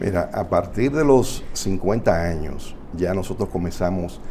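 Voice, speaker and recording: There is audible room echo around a man with a very deep, low pitch. He speaks fairly slowly with lively intonation. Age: 60s. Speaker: family doctor. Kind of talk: health talk show interview.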